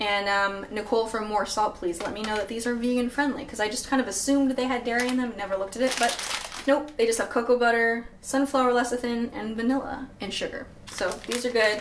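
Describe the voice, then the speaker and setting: Against light background noise, a woman speaks with fairly even intonation. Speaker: cooking vlogger. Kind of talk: casual vlog chat. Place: kitchen. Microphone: camera far.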